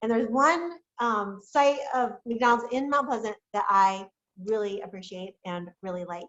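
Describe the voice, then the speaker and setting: A woman speaks with a fairly high pitch. Her loudness swings a lot. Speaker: professor. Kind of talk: casual chat. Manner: fast.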